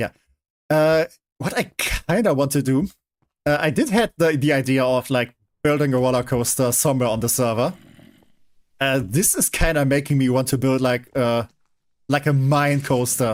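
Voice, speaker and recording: A man at medium pitch with ordinary pitch variation, very even loudness, a moderate pace and long, frequent pauses, on a very clean recording with a silent background. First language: German. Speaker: streamer. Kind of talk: live gaming stream commentary. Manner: hesitant, many fillers and restarts.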